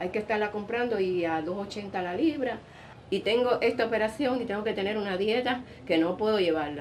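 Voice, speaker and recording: A woman talks very fast at a fairly high pitch with ordinary pitch variation. Background noise is noticeable. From central Cuba, Sancti Spiritus. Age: 60s. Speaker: retiree. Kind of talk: interview.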